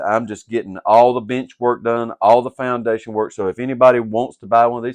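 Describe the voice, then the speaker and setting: A man with a Southern US accent, a quiet background, and a dry, close sound with no echo. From Southern United States. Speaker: gem cutter and sword polisher. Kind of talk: casual talk to camera. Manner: casual, hesitant.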